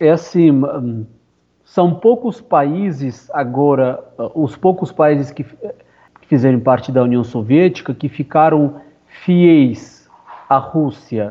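Very slow speech from a man with an Armenian accent, lively intonation, and long, frequent pauses. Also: fairly high pitch for a man. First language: Armenian (speaking Portuguese). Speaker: actor. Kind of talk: interview. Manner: halting.

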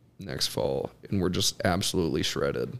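Fairly low in pitch, a man speaks at a moderate pace. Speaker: podcast co-host. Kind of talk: casual chat.

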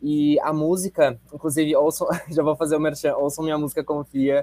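A man with a fairly high voice is heard in a dry, close recording with no echo. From Rio Grande do Sul, Brazil. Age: 20s. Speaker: actor, singer and dancer. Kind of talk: interview.

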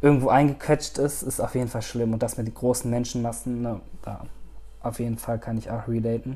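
The man's tone is dark and mellow. He talks fairly quickly. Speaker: podcast host. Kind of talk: solo monologue podcast.

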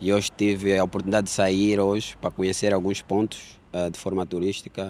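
A man speaks at a fairly quick pace with a fairly low pitch and monotone, flat intonation. The recording is very clean, with a silent background. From Angola, Luanda. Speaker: photographer. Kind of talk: casual interview.

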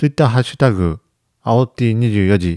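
Recorded dry and close with no echo against a silent background on a very clean track, a man speaks in a dark, mellow tone with ordinary pitch variation. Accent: Ishikawa. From Ishikawa, Japan. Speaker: rice farmer and podcast host. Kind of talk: casual chat.

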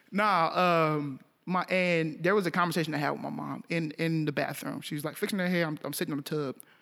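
A fairly quick man's voice with an American accent, fairly high pitch, a bright, sharp tone and fairly even intonation, on a very clean recording with a silent background. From Texas, Arlington. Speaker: music producer. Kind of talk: casual chat.

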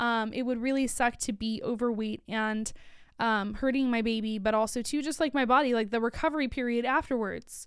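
A woman at a fairly high pitch and fairly quick pace, fairly even intonation, very clean recording with a silent background. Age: 30s. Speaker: psychology educator and podcast host. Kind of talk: casual solo talk. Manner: halting, many fillers.

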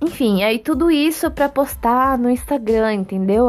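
With noticeable background noise behind her, a woman talks at a fairly slow pace with ordinary pitch variation. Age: 20s. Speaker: podcast host. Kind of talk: casual monologue.

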